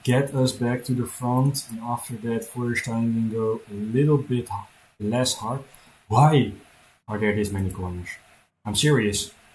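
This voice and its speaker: Somewhat breathy man's voice with a Dutch accent, medium pitch, fairly even intonation and a fairly slow pace, recorded very cleanly against a silent background. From Netherlands. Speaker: gaming streamer. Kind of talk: live gameplay commentary. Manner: halting.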